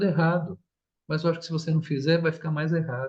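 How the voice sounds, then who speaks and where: The man's pitch is fairly high. He talks at a fairly quick pace. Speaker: therapist giving a live talk. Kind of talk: online talk on parenting. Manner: animated, colloquial.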